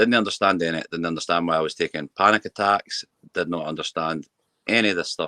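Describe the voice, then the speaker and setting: With a West Lothian accent, a man talks at a very fast pace in a very deep, low pitch, his tone bright and sharp, his pitch variation ordinary, and the sound dry and close with no echo. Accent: Scottish (West Lothian). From Scotland. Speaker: mental health campaigner. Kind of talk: personal testimony. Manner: halting with repetitions.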